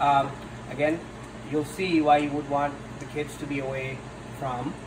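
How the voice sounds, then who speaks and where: A man speaks at a fairly high pitch. Room echo is audible, and background noise is noticeable. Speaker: cooking show host. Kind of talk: cooking tutorial. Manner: hesitant, many fillers and repeats.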